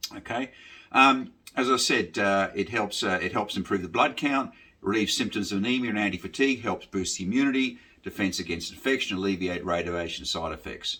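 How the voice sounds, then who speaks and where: Speaking at a fairly quick pace, a man with an Australian accent has a fairly low pitch, ordinary pitch variation and a bright, sharp tone. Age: 60s. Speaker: military veteran and delivery rider sharing health experience. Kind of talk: informal talk to camera about a supplement. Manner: halting, many fillers.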